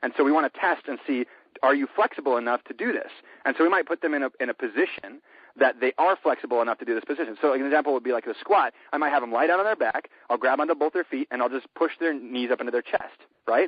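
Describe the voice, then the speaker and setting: A fairly high-pitched man at a very fast pace, with ordinary pitch variation. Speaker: fitness trainer. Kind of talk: podcast interview. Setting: phone call. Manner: animated.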